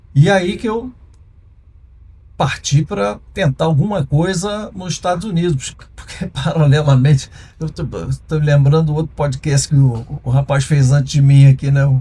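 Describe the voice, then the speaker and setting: A man's fairly high, somewhat breathy voice has a dark, mellow tone and ordinary pitch variation. He goes at a fairly slow pace, with long, frequent pauses. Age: 60s. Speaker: former music and TV producer, entrepreneur. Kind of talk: interview conversation. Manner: halting.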